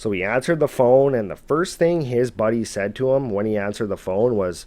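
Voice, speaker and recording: This man has an ordinary speaking voice, a medium pitch and lively intonation, with a Canadian accent. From Canada. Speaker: storyteller narrating viewer encounters. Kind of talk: storytelling narration; casual sign-off to viewers. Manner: casual, conversational.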